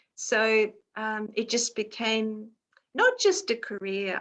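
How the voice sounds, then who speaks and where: A woman speaks with a bright, sharp tone at a fairly high pitch. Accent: Australian. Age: 60s. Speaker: children's mindfulness teacher. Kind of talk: casual chat. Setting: video call.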